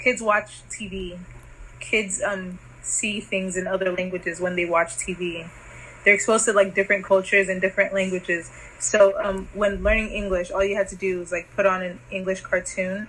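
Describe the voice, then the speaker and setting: Over noticeable background noise, a woman speaks at a medium pitch and a moderate pace in a monotone, flat intonation. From Nigeria. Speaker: interviewee for a student project. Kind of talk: casual interview. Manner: hesitant, many fillers.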